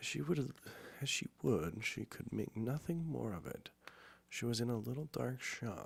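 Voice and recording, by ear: Someone reads aloud in a natural voice.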